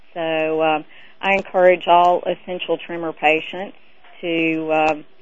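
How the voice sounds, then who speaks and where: A woman with an ordinary speaking voice, fairly low in pitch, at a fairly slow pace. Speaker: caller. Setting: phone call.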